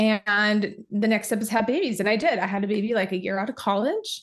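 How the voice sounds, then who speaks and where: A woman talks at a fairly quick pace in a fairly high pitch, with an unremarkable speaking voice. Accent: American. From Utah. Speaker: hormone nutritionist. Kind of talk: casual chat.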